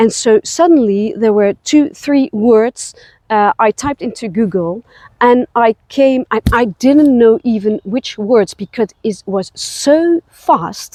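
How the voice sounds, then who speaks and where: A very slow, lively voice in a Dutch accent, dark and mellow in tone, with a dry, close sound and no echo. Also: woman, fairly high pitch for a woman. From Netherlands. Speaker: spiritual travel guide. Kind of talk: personal vlog. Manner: halting, many fillers.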